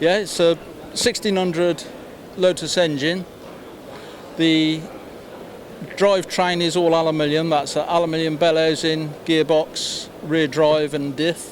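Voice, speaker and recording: With noticeable background noise behind him, a man speaks at a fairly slow pace and fairly high pitch in a monotone, flat intonation, leaving long, frequent pauses. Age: 70s. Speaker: retired amateur motorsport competitor. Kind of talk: interview.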